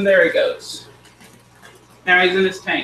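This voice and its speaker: A man speaks in a raised, projected, high voice at a fairly slow pace. Background noise is noticeable. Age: 20s. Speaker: pet hobbyist youtuber. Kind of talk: live stream tutorial chat. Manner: casual, rambling.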